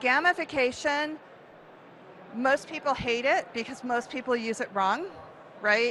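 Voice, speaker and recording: A woman's raised, projected voice with an American accent, high in pitch and animated in tone, with ordinary pitch variation at a fairly slow pace. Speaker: event marketing speaker. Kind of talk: conference talk.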